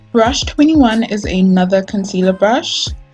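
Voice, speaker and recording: Backed by music, a woman with a South African accent speaks fairly slowly at a medium pitch. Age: 20s. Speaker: beauty youtuber. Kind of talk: product review to camera. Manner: casual, friendly.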